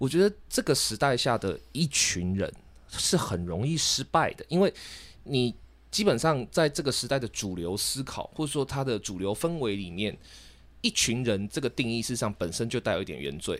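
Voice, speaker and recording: On a very clean recording with a silent background, a man with a Taiwanese accent speaks at a moderate pace and medium pitch, his pitch swinging very widely. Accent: Taiwanese Mandarin. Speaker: podcast co-host. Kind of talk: casual debate.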